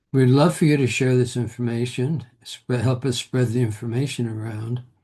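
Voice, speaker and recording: The tone is dark and mellow, somewhat breathy. Delivery comes at a moderate pace with fairly even intonation. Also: man. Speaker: reflexology trainer. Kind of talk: workshop closing remarks.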